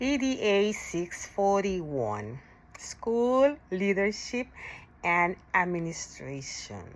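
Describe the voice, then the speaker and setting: The speaker is a woman with a non-native accent. She goes along very slowly. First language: not English. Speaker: ESL teacher and graduate student. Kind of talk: recorded course presentation. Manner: halting, self-correcting.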